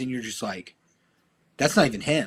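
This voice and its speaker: A man talks loudly, with a Midwestern American accent and lively intonation. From Ohio, US Midwest. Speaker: podcast guest, fighter and football coach. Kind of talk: casual interview chat.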